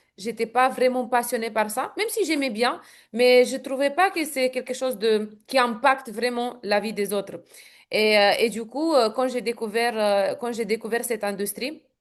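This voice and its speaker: In a Romanian accent, the speaker talks at a fairly slow pace with ordinary pitch variation against a quiet background. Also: woman. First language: Romanian (speaking French). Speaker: network marketing entrepreneur. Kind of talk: interview. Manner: hesitant, many fillers.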